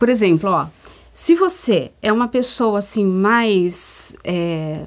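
Speaking at a very slow pace, a woman's voice moves through very wide pitch swings. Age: 50s. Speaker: co-host and strengths mentor. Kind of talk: informative talk show chat. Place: studio. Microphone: lapel.

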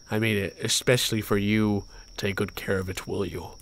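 A put-on character voice delivers its lines at a low pitch and a moderate pace. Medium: game stream. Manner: warm, grateful.

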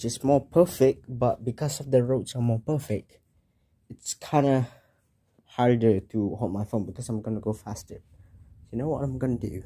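A somewhat breathy man with a dark, mellow tone talks at a moderate pace with ordinary pitch variation. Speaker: vlogger. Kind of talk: casual vlog chat. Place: home room. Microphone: phone near.

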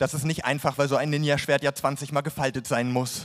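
The speaker talks at a moderate pace in a deadpan tone with monotone, flat intonation. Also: man. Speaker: poetry slam performer. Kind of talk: comic poetry slam performance. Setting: live stage, audience.

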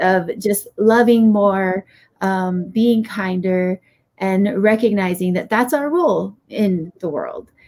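In a Hawaiian accent, the speaker talks at a very slow pace against a quiet background. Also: woman, ordinary pitch variation. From Hawaii, Laie (Oahu). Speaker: podcast guest. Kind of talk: podcast interview. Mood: warm, reflective. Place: home room.

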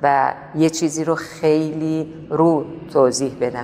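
With a Tehran accent, this woman has a very deep, low voice, and noticeable background noise runs beneath it. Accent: Tehrani Persian. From Tehran, Iran. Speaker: painter. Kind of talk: interview answer.

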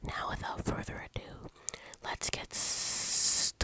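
A woman whispers at a fairly slow pace while noticeable background noise continues. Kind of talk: casual talk to camera. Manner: whispered.

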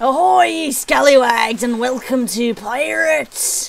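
A woman's put-on character voice, high-pitched and at a fairly slow pace. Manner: jovial, theatrical.

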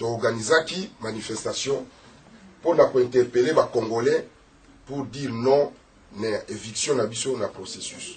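Speaking at a very slow pace, a man leaves long, frequent pauses, his loudness swinging widely while his pitch varies in an ordinary way. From DR Congo. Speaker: audience member, civil society activist; audience member. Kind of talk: audience question, French and Lingala. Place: office.

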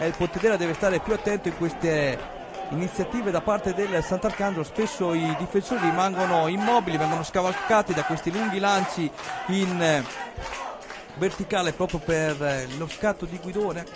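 Over crowd noise in the background, a man talks at a moderate pace in a high pitch with ordinary pitch variation. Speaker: football commentator. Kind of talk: live sports commentary. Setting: stadium commentary for web broadcast. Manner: brisk, play-by-play delivery.

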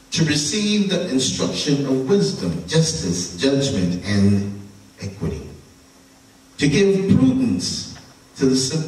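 A man at a very slow pace, with very wide pitch swings and audible room echo. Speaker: preacher. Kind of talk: scripture reading and prayer. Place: church.

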